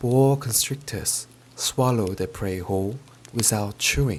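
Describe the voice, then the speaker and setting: At a very slow pace, a man with a British accent speaks in a calm tone at medium pitch. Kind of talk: audiobook-style storybook reading. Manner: soft, calm, ASMR-style.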